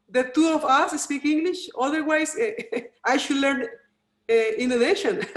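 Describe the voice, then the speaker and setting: Speaking with a Costa Rican accent, a woman with a high pitch and lively intonation leaves long, frequent pauses. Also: moderate pace. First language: Spanish. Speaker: volcanologist. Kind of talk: interview. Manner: halting.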